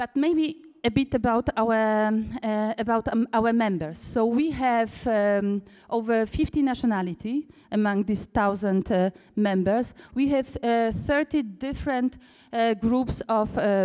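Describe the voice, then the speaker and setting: A woman with a Polish accent, fairly high in pitch with a dark, mellow tone, at a fairly slow pace, with ordinary pitch variation and very even loudness. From Poland. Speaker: cooperative founder and managing director. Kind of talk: conference talk. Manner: halting, many fillers.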